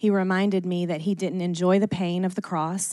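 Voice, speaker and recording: A woman's plain, everyday voice with an American accent, fairly low in pitch, at a moderate pace. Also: quiet background. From US South, Athens, Georgia. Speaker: church member sharing testimony. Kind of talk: testimony. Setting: stage with audience.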